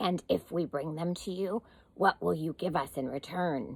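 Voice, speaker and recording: A woman performs a put-on character voice. She growls throughout. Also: fairly low pitch for a woman, moderate pace. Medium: read story. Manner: growling.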